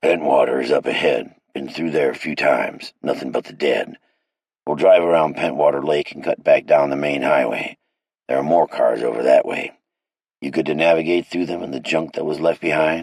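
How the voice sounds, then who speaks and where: Putting on a character voice, a man speaks at a moderate pace in a very deep, low, raspy pitch. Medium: read story. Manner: gruff, commanding.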